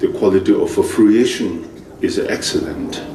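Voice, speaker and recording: The pace is very slow. Audible room echo and noticeable background noise accompany the voice. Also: man. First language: Tibetan. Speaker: Buddhist teacher. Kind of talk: dharma teaching lecture. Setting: monastery teaching session.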